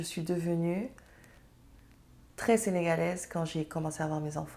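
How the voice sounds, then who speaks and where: A woman speaks with a Senegalese accent at a moderate pace. Her pitch is fairly low. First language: Serer (speaking French). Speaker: entrepreneur and mother. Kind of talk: interview conversation.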